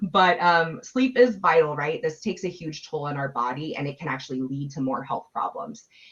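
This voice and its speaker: A woman with a very deep, low pitch makes very wide pitch swings as she talks. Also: hardly any pauses. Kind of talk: webinar presentation. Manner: fast.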